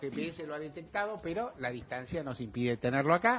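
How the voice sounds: Talking at a fast pace, a man uses lively intonation, a fairly high pitch, and a fairly bright tone.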